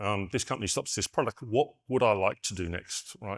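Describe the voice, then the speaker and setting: In a very clean recording with a silent background, a man with an Australian accent speaks at a fairly low pitch with ordinary pitch variation. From Western Australia. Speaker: conference keynote speaker, network engineer. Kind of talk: keynote talk. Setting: stage with audience. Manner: fast.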